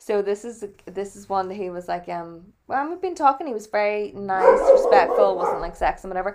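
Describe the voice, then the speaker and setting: Over noticeable background noise, a woman with a Northern Irish accent speaks at a fairly quick pace. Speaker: podcast co-host. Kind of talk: casual chat.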